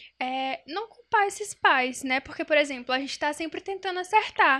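A woman projects a raised voice, high in pitch and bright and sharp in tone. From Northeast Brazil, União (Piauí). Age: 20s. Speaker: psychologist. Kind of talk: casual chat.

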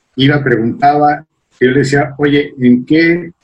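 This man's voice sits fairly high in pitch and sounds somewhat breathy. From Mexico City. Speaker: sales and brand manager. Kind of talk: interview. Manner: halting, repeats words.

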